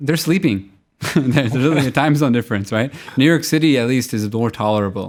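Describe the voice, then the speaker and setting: In a very clean recording with a silent background, a man speaks at a medium pitch with ordinary pitch variation in a plain, everyday voice. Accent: American. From US, central New Jersey. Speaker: tech entrepreneur. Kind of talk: interview.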